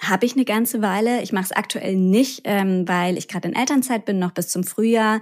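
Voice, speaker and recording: In a normal speaking voice, a woman talks at a fairly quick pace with hardly any pauses, medium pitch and ordinary pitch variation, on a very clean recording with a silent background. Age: 30s. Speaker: gut health podcaster and patient expert. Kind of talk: interview.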